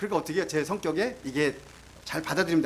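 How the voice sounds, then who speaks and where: A man is talking here. His pace is very fast. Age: 50s. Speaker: missionary. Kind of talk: testimony. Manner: animated.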